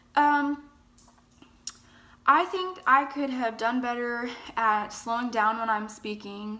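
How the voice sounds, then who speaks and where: Speaking at a very slow pace with long, frequent pauses, a woman uses a high pitch and ordinary pitch variation, and room echo is audible. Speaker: college student. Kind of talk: self-evaluation monologue. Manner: hesitant, with fillers.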